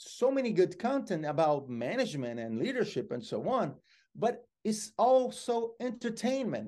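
This man has a Brazilian accent. His pitch is high. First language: Portuguese. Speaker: motivational speaker. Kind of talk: interview.

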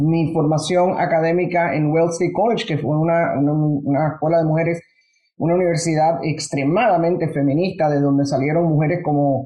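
Her voice very deep and low, a woman talks at a moderate pace with fairly even intonation. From Panama. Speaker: business executive. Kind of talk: interview.

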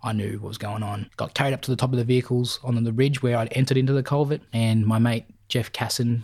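A man with an Australian accent talks at a very fast pace in a medium pitch, somewhat breathy and monotone with flat intonation, on a very clean recording with a silent background. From Melbourne southeast, Victoria, Australia. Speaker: war veteran. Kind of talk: interview testimony.

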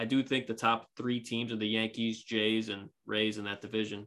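A man with a plain, everyday voice talks fairly quickly at a fairly low pitch. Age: 20s. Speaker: amateur podcaster and baseball fan. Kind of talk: casual chat.

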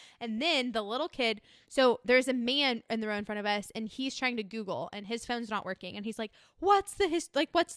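With a Texan accent, a woman talks at a very fast pace, her pitch fairly high, her tone animated and her intonation lively. The sound is dry and close with no echo, and the background is quiet. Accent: Texan American. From Austin, Texas. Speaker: summer camp staff. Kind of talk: casual chat. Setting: living room.

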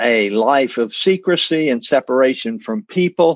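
A man speaks at a medium pitch with lively intonation. The sound is dry and close, with no echo. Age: 70s. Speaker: meeting participant. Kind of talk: testimony. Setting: video call.

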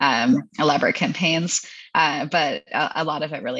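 A woman with a Canadian accent speaks in a very deep, low voice. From Hamilton, Ontario, Canada. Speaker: food company founder and CEO. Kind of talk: interview, casual business chat.

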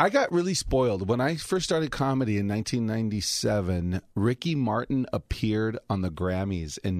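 A man with an American accent speaks at a moderate pace in a normal speaking voice, his intonation lively and his delivery with hardly any pauses. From Los Angeles (Highland Park, Alhambra). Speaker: comedian. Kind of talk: casual chat.

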